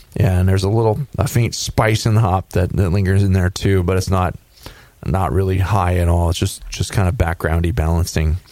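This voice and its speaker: A man with a very deep, low pitch and ordinary pitch variation speaks at a moderate pace and very even loudness, with noticeable background noise. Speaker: homebrew show host and beer judge. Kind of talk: casual chat and beer judging.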